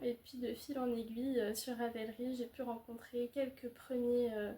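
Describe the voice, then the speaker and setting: Speaking at a fairly slow pace, a woman uses a high pitch and flat, monotone intonation. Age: 20s. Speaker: knitting podcaster. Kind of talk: casual chat. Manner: hesitant, many fillers.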